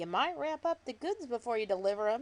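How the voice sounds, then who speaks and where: Using a gruff, put-on character voice, a woman speaks at a fairly quick pace in a high pitch with very wide pitch swings. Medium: read story. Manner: gruff, grumbling.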